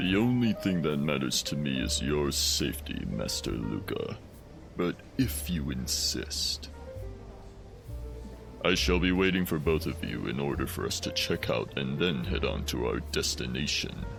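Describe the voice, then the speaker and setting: Using a put-on character voice, a man speaks at a moderate pace while clear music plays in the background. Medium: audio drama. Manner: formal, deferential.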